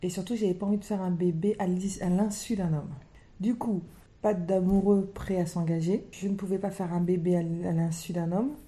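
A woman speaks at a moderate pace in a dark, mellow, somewhat breathy voice. Her intonation is fairly even. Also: medium pitch for a woman. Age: 40s. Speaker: single mother by choice, wealth management adviser. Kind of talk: personal testimony interview.

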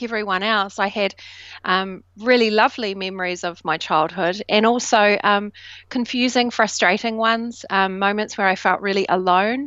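The speaker uses fairly even intonation in a New Zealand accent. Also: woman. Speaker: self doubt coach. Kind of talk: interview conversation.

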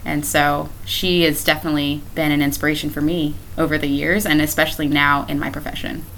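With a very deep, low pitch and ordinary pitch variation, a woman talks at a fairly quick pace with hardly any pauses, amid audible room echo and noticeable background noise. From Florida, Brevard County. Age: 20s. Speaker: teacher and ministry leader. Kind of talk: casual interview. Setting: at host's home. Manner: laughs often.

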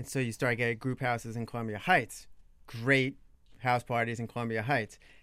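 A man with an American accent speaks in an ordinary speaking voice at a moderate pace, with a medium pitch and fairly even intonation. The recording is very clean, with a silent background. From Long Island, New York. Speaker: blogger. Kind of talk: casual chat. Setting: studio.

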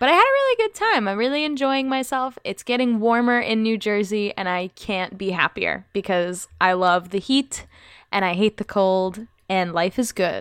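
On a very clean recording with a silent background, a woman speaks in an ordinary speaking voice with a fairly high pitch. Her pace is moderate, her pitch variation ordinary, and the sound dry and close with no echo. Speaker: podcast host. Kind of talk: casual chat.

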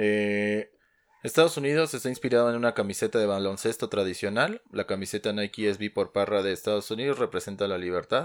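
A man with a plain, everyday voice talks at a fairly quick pace and fairly low pitch, with ordinary pitch variation, in a very clean recording with a silent background. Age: 30s. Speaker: sneaker podcast co-host. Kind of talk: casual chat.

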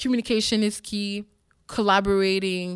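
A woman with a Quebec accent, very clean recording, silent background. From Montreal, Quebec (Parc-Extension), Haitian family. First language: French. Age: 30s. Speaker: TV host and producer. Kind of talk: interview. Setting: stage with audience. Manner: animated.

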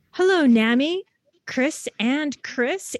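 A woman speaks on a very clean recording, the background silent. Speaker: podcast host. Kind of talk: podcast interview.

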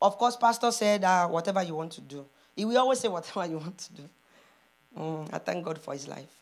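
In a very clean recording with a silent background, a woman talks very fast in a fairly low pitch, her tone animated, her intonation lively and her loudness swinging widely. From Nigeria. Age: 40s. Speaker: preacher. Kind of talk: sermon; spoken prayer. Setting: church.

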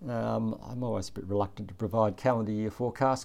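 A man with an Australian accent, fairly low-pitched, at a very fast pace. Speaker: chief economist hosting an investing podcast. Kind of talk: economic commentary monologue.

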